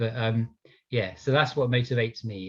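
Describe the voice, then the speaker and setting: Somewhat breathy and passionate in tone, the voice comes through over a quiet background. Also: man. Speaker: police officer. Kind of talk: panel discussion.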